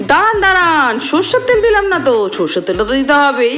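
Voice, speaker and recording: A woman's voice leaps through very wide pitch swings over light background noise. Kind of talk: casual cooking tutorial chat. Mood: cheerful, laughing. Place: kitchen. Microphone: phone near.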